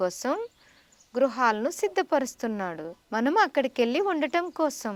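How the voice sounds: Speaking at a fairly slow pace, a woman uses a fairly high pitch and lively intonation. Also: dry, close sound with no echo.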